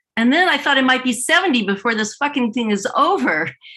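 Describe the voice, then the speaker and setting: A woman with a bright, sharp tone. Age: 60s. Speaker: stand-up comedian. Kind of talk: stand-up. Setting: video call. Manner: animated.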